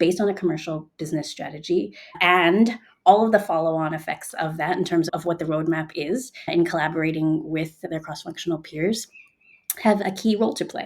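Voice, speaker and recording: A woman's fairly low, ordinary speaking voice with an American accent, ordinary pitch variation and a moderate pace. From United States. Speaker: product leader. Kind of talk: interview.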